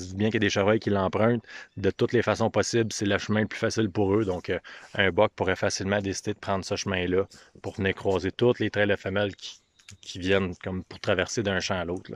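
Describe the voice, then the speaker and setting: A man speaks with monotone, flat intonation. The sound is dry with no echo, and the background is quiet. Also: fairly low pitch for a man, fairly quick pace. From Quebec. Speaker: hunting video host, bowhunter; hunting video host. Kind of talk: outdoor vlog walkthrough. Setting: outdoors in the woods. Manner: casual, hesitant with fillers. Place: open country. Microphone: phone near.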